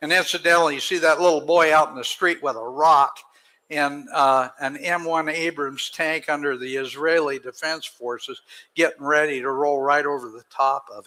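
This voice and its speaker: A man talks at a moderate pace in a fairly high pitch, his tone bright and sharp. His intonation stays fairly even while his loudness swings a lot. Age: 70s. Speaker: conference speaker. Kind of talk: conference talk. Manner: impassioned.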